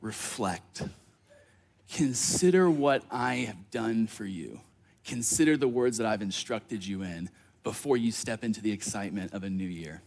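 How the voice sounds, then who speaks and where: This man speaks with a fairly low pitch. His intonation is lively. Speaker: pastor. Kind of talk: sermon. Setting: church. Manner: fast talker.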